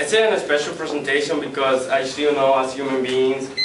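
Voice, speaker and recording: Noticeable background noise surrounds a man with a non-native accent who talks at a medium pitch and moderate pace. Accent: non-native English speaker. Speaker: student. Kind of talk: persuasive class speech.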